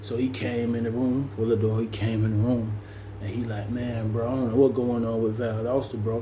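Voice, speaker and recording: Audible room echo and noticeable background noise around a man's medium-pitched voice at a fairly quick pace. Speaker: storyteller, former prisoner. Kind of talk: casual storytelling monologue. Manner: animated, acts out dialogue.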